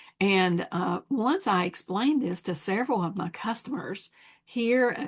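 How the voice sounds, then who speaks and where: An unremarkable speaking voice from a woman with an American accent, medium pitch, lively intonation and a fairly slow pace. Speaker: scrapbooking sales advisor. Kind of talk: product demonstration. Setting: home.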